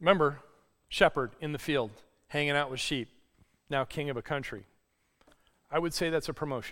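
In a very clean recording with a silent background, a man with a fairly high pitch talks at a fairly quick pace, breaking often with long pauses. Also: ordinary pitch variation. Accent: slight Northern US. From US Northeast. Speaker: pastor. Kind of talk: sermon. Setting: church.

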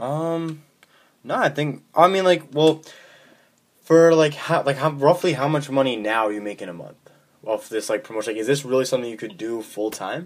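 The man's intonation is lively, his pitch fairly high. He keeps a moderate pace while his loudness swings widely. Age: young. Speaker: podcast host. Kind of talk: casual interview.

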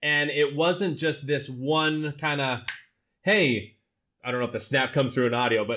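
A normal speaking voice, a man's, fairly high-pitched, with an American accent, ordinary pitch variation and a fairly slow pace. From Utah, US. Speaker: solutions architect and teacher. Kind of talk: casual interview. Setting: living in Amsterdam.

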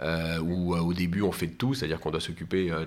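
This man's voice sits very deep and low, with fairly even intonation. Audible room echo surrounds it. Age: 40s. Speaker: business lawyer. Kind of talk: interview. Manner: halting, frequent repetitions.

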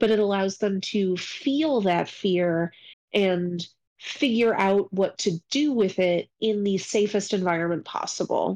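A woman with an unremarkable speaking voice, medium pitch and ordinary pitch variation, at a fairly slow pace with very even loudness. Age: 30s. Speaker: librarian and podcast co-host. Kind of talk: casual chat.

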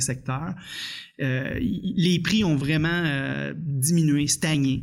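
A man's fairly high voice in a Quebec accent, with ordinary pitch variation. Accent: Québécois French. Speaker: union economist. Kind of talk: interview. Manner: halting, frequent repetitions.

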